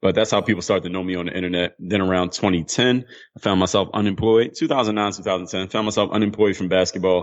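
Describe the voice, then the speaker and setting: With a Philadelphia accent, a man delivers his words at a very fast pace in a very deep, low voice, keeping his intonation fairly even. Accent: Philadelphia American English. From US, Philadelphia. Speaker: former pro basketball player and mental toughness coach. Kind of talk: interview.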